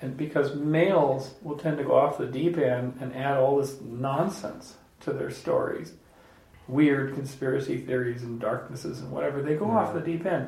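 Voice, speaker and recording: This is an ordinary speaking voice from a man, fairly high in pitch. He keeps a moderate pace with ordinary pitch variation. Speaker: podcast host. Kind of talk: casual group discussion with audience Q&A.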